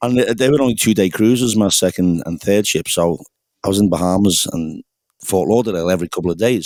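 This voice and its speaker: In a Liverpool accent, a man talks at a fairly quick pace with a very deep, low pitch and ordinary pitch variation on a very clean recording with a silent background. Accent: Scouse. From England, Liverpool. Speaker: singer-songwriter, pub musician. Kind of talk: casual chat.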